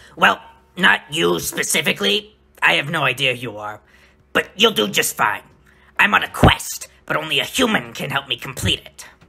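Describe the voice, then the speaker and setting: Using a put-on character voice, a man at a medium pitch speaks at a moderate pace with very wide pitch swings and big jumps in loudness. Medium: audio drama. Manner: fast, hurried.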